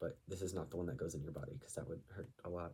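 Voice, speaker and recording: Somewhat breathy and dark and mellow in tone, the man's voice sits very deep and low. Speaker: video blogger. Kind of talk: tutorial. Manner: casual, hesitant with fillers.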